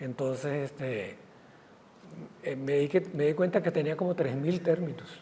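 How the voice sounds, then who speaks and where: A man speaks at a fairly slow pace with ordinary pitch variation. Long, frequent pauses break his speech over noticeable background noise. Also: fairly high pitch for a man. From Costa Rica, Guanacaste. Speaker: writer and physician. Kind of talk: interview conversation.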